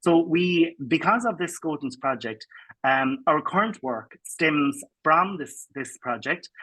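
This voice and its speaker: In a Cork accent, a man speaks with a bright, sharp tone. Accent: Cork Irish English. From Ireland, Cork. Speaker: education researcher. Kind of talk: award acceptance speech. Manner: halting with fillers.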